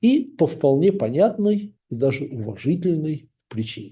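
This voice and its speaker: His fairly high voice carries a dark, mellow tone as this man swings very widely in pitch. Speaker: author. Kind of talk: book introduction. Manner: formal.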